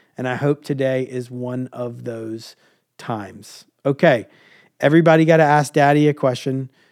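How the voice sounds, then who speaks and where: Using a plain, everyday voice, a man talks at a moderate pace and medium pitch with fairly even intonation and big swings in loudness. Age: 30s. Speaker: podcast host and leadership coach. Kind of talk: casual chat with his kids. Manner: warm, encouraging.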